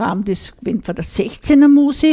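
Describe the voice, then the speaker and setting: A woman with an Upper Austrian accent speaks at a very slow pace in a dark, mellow tone with ordinary pitch variation. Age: 60s. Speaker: radio co-host, dialect club member. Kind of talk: casual radio chat. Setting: radio studio.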